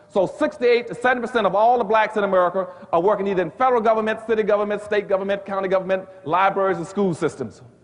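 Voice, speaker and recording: Over noticeable background noise, a man talks at a very fast pace in a high pitch. His tone is animated, with ordinary pitch variation. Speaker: economics author and lecturer. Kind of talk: public lecture.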